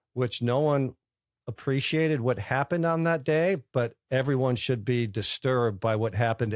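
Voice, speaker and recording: The recording is very clean with a silent background and a dry, close sound with no echo, carrying a normal speaking voice at a moderate pace with ordinary pitch variation. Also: man. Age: 60s. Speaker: bank founder and former lawyer. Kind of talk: interview. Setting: college campus conference.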